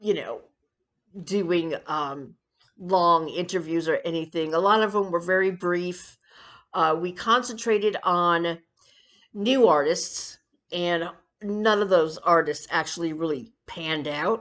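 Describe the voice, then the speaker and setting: Over a quiet background, a woman with a fairly low pitch speaks at a fairly slow pace with ordinary pitch variation and long, frequent pauses. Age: 60s. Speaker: YouTuber and amateur singer. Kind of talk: casual vlog monologue. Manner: hesitant, many fillers.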